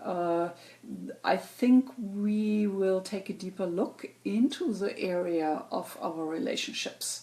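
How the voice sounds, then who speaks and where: At a very slow pace, a woman with a German accent speaks at a medium pitch with ordinary pitch variation. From Germany. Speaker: astrologer. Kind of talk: weekly astrology forecast monologue. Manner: halting, many fillers.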